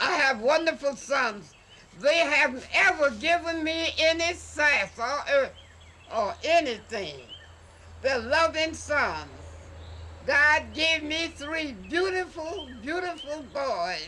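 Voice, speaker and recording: A woman's raised, projected, high voice with a Southern US accent, at a very slow pace, over noticeable background noise. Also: lively intonation. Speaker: painter. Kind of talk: casual chat.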